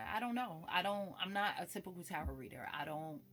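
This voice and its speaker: A woman with a fairly low pitch speaks with very wide pitch swings and vocal fry. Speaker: spiritualist and tarot reader. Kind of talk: casual vlog monologue. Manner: casual, shifting between calm and animated.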